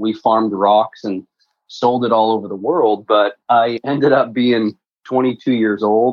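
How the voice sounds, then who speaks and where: A man with a Canadian accent speaks at a fairly slow pace and medium pitch. He has a plain, everyday voice and fairly even intonation. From Alberta, Canada (near Edmonton). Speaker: real estate investor. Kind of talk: interview.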